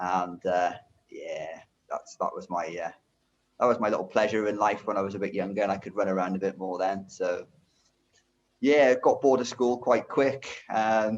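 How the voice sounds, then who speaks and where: A man speaks at a moderate pace in a Welsh accent. He takes long, frequent pauses. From Wales, rural Brecon area. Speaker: driving instructor. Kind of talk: interview, life story. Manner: hesitant, many fillers and repeats.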